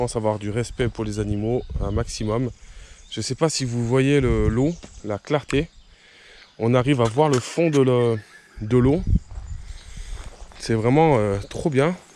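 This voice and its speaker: A man's medium-pitched voice at a very slow pace, with ordinary pitch variation and long, frequent pauses. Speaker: nature vlogger. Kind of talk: outdoor vlog walk. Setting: outdoors. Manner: casual with hesitations; soft-spoken.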